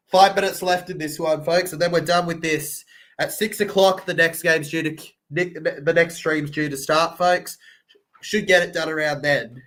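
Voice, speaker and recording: A man with an Australian accent talks at a moderate pace in a bored tone, his high pitch held to a fairly even intonation. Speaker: sports livestream reactor. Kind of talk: live commentary. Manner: bored, flat delivery.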